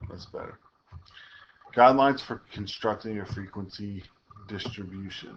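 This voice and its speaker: A man's fairly low voice, with long, frequent pauses and fairly even intonation. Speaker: statistics teacher. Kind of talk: recorded lecture. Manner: fast; casual.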